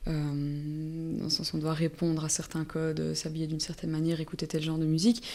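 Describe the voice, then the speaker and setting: Flat and monotone, a woman with a dark, mellow tone and a very deep, low pitch speaks fairly quickly with hardly any pauses. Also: very clean recording, silent background. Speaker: multidisciplinary artist and musician. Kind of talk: casual interview conversation. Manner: halting, many repetitions.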